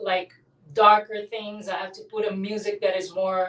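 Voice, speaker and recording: A woman speaks with a Brazilian Portuguese accent. Her pitch is medium and her pace fairly slow. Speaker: abstract artist. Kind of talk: interview.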